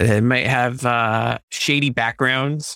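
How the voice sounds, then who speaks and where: This man's voice has a bright, sharp tone and a medium pitch with ordinary variation. The sound is dry and close, with no echo. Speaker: Hollywood creative director. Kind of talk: podcast interview, sponsored guest.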